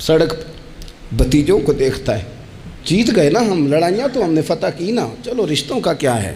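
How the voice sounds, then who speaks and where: Noticeable background noise sits behind a man's voice. His pitch is fairly high and swings very widely. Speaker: Islamic scholar. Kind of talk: religious sermon. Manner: emotional, impassioned.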